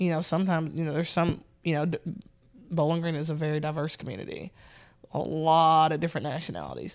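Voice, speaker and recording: A woman with a Southern US accent talks very fast yet with long, frequent pauses, using a very deep, low pitch and fairly even intonation on a very clean recording with a silent background. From US South, Nashville, Tennessee. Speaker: police sergeant. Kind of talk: casual interview. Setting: sitting on a couch.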